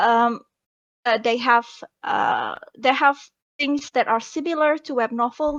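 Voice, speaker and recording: Using a non-native accent, a woman talks at a fairly slow pace in a high voice with lively intonation. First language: not English. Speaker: web novel author. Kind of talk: panel discussion. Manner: halting.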